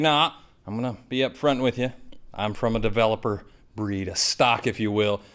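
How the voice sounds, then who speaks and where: Someone with a slight Southern accent speaks at a moderate pace on a very clean recording with a silent background. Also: man. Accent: slight southern twang. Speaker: IT trainer and presenter. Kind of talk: presentation. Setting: studio with live audience.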